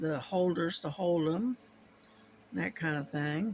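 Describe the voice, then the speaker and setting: A woman with an American accent speaks in a very deep, low pitch with lively intonation. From US, army family moving around. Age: 60s. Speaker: crafting YouTuber. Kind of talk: casual chat. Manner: halting, many fillers.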